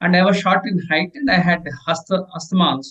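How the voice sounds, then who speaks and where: A man speaks with an Indian accent. His pitch is high. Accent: Indian accent, noticeable. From India (Telugu-speaking region). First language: Telugu. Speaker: leadership author and professor. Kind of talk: interview. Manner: halting, many fillers and repetitions.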